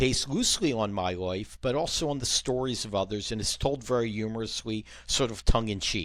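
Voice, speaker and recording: On a very clean recording with a silent background, a man with an American accent uses a plain, everyday voice in a medium pitch, at a moderate pace with ordinary pitch variation. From Philadelphia, US. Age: 60s. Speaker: novelist and former business consultant. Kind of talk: casual interview chat. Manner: frequent filler ums.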